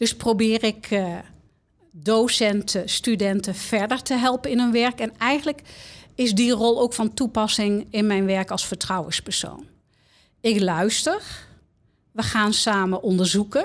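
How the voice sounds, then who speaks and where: A plain, everyday voice speaks at a fairly slow pace with ordinary pitch variation and very even loudness. The recording is very clean, with a silent background. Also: woman, fairly high pitch for a woman. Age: 60s. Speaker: confidential counsellor at a university of applied sciences. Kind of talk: interview.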